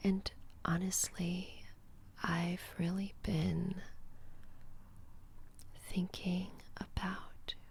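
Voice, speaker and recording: Soft-spoken, somewhat breathy, monotone and flat speech at a very slow pace, with long, frequent pauses. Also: woman, medium pitch for a woman. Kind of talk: ASMR casual talk to camera.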